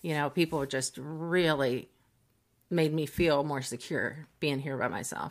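A woman with a very deep, low pitch and a Midwestern American accent, on a very clean recording with a silent background. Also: fairly slow pace. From US Midwest, Cincinnati, Ohio. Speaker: mediator and arbitrator. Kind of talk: casual interview.

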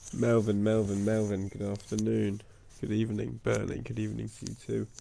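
A man puts on a soft-spoken, nasal character voice at a fairly low pitch, talking at a moderate pace.

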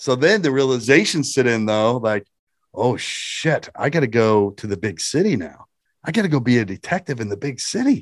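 Against a quiet background, a man with a Midwestern American accent talks at a moderate pace, his medium pitch shaped by lively intonation. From small-town Indiana. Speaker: former state police detective turned stand-up comedian. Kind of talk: interview.

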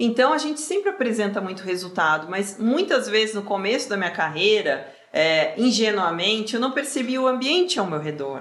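With noticeable background noise and audible room echo, a woman speaks at a moderate pace with hardly any pauses, her fairly high pitch showing very wide swings. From southern Brazil (Rio Grande do Sul). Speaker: career mentor. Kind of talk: casual interview chat.

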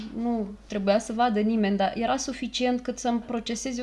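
In an ordinary speaking voice, a woman talks at a moderate pace with fairly even intonation. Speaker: podcast host and therapist. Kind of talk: casual chat.

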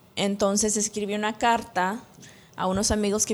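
A woman talks at a medium pitch. She keeps a monotone, flat intonation. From El Salvador, moved to US at 13. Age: 30s. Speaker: insurance agent. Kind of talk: interview testimony. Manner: hesitant, many fillers.

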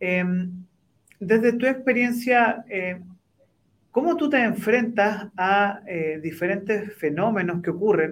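A man's high-pitched voice at a very slow pace, with ordinary pitch variation and long, frequent pauses. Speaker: co-host and lecturer. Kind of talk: interview. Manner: hesitant, many fillers.

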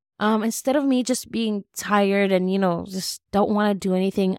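Recorded very cleanly with a silent background and a dry, close sound with no echo, a woman speaks at a medium pitch and a moderate pace with ordinary pitch variation. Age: 20s. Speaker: podcast host and esthetics student. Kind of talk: casual solo podcast talk. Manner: halting, many fillers.

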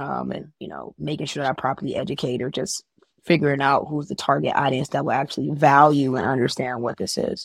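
In an American accent, a woman talks very fast in a very deep, low voice with vocal fry. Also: ordinary pitch variation. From Chicago, US Midwest. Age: 20s. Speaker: insurance agent and community organizer. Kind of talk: casual interview chat.

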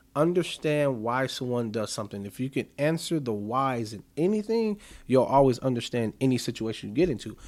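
Lively in intonation, a man talks at a moderate pace with a medium pitch. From US Midwest. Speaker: podcaster. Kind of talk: casual chat. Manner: articulate; talkative.

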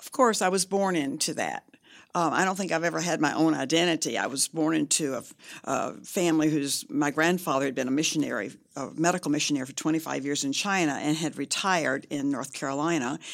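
A woman with an American accent talks very fast in a very deep, low voice with vocal fry and ordinary pitch variation. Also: very clean recording, silent background. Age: 70s. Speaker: author and evangelist's daughter. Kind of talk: interview. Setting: studio.

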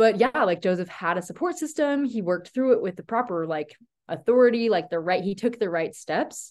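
Against a quiet background, a woman speaks in an animated tone at a fairly high pitch and moderate pace, with very wide pitch swings. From Tennessee. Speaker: student club founder. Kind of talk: casual chat.

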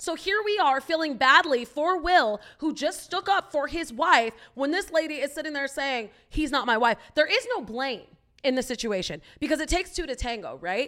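Projecting a raised voice, a woman speaks at a moderate pace in a high pitch with lively intonation and a bright, sharp tone. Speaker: podcast co-host. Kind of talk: casual chat.

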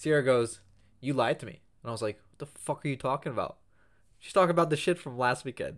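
Big swings in loudness mark this man's very fast speech. His pitch is fairly high, with ordinary pitch variation. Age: 20s. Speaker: podcast co-host. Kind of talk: casual chat.

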